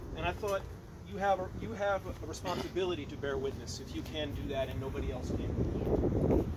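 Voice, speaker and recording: A man speaks with audible room echo around him. Noticeable background noise runs under his voice. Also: moderate pace. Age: 60s. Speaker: professor and blues musician giving a eulogy. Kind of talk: eulogy. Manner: halting.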